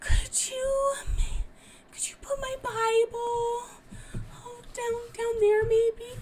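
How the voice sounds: In a put-on character voice, a woman speaks at an extremely high pitch and very slow pace, whiny in tone, with monotone, flat intonation and long, frequent pauses.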